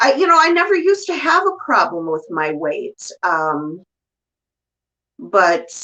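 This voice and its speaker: A woman projects a raised, high-pitched voice with a bright, sharp tone and very wide pitch swings. She speaks at a fairly slow pace, leaving long, frequent pauses. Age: 50s. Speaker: YouTuber and candle shop owner. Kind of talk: casual chat.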